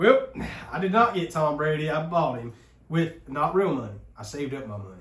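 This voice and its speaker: A man with an American accent and a fairly high pitch talks at a fairly quick pace, with very wide pitch swings and big swings in loudness. Audible room echo surrounds his voice. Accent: hick. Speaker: podcast host. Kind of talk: casual chat.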